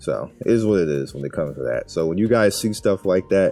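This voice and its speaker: Music plays in the background while a man speaks at a fairly quick pace. His very deep, low voice has lively intonation. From Brooklyn. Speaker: YouTuber and streamer. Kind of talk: casual.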